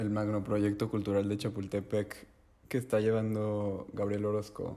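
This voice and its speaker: A man's fairly low voice in a flat monotone. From Mexico City. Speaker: podcast co-host. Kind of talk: casual chat.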